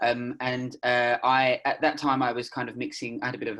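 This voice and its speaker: Fairly quick speech comes from a man at a medium pitch. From United Kingdom. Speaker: freelance journalist. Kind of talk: panel discussion. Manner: hesitant, many fillers.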